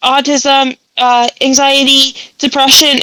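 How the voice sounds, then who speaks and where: A woman with a high voice speaks in a raised, projected way. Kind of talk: interview conversation.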